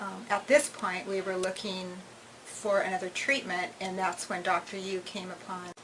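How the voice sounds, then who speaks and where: Noticeable background noise fills the recording. A woman's voice comes through over it. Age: 60s. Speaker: patient. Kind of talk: testimony. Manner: halting.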